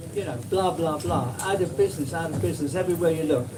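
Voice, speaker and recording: Amid noticeable background noise and audible room echo, a man talks at a fairly quick pace and a fairly high pitch. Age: 70s. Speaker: small-scale farmer and compost seller. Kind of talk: talk at a public event, answering questions. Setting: small room with live audience. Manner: animated.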